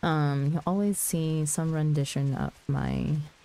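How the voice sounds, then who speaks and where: The speaker is soft-spoken, with a dark, mellow tone and fairly even intonation. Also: woman. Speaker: streamer. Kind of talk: casual chat. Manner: soft-spoken, under her breath.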